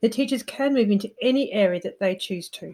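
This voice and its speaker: A woman's somewhat breathy voice with a dark, mellow tone and ordinary pitch variation, at a very fast pace, on a very clean recording with a silent background. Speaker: podcast host. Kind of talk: casual interview chat.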